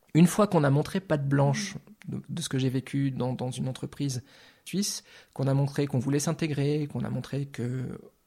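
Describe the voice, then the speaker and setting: A man's dark, mellow, somewhat breathy voice, with long, frequent pauses. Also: ordinary pitch variation, moderate pace. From France, Lorraine. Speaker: artist. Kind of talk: interview. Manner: halting, repeats words.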